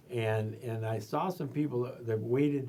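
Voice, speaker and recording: The man talks at a moderate pace with fairly even intonation. Audible room echo surrounds his voice. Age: 70s. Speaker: retired veterinarian. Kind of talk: oral history interview. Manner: halting with repetitions.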